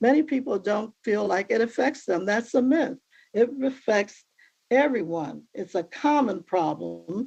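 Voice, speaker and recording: A woman with vocal fry and a dark, mellow tone talks fairly slowly at a fairly high pitch with lively intonation. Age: 80s. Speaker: minister and family member of the defendant. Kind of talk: prepared statement at a court sentencing.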